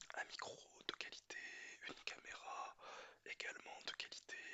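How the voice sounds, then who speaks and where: Whispering comes through at a fairly slow pace. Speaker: ASMR creator. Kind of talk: casual ASMR talk to camera. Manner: whispered.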